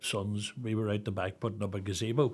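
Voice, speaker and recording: In a Northern Irish accent, the flat, monotone voice comes through on a very clean recording with a silent background. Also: man. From Northern Ireland, Newry. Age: 60s. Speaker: charity founder, bereaved father. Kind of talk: podcast interview.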